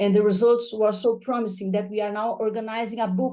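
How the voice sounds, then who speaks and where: The speaker has a Portuguese accent and a dark, mellow tone. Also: woman. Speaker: professor. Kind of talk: lecture. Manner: fast.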